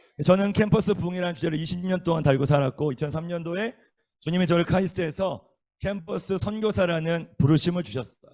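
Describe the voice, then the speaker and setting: A very fast, high-pitched male voice with ordinary pitch variation. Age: 40s. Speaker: missionary preacher. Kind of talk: sermon. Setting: lecture room at a university worship service.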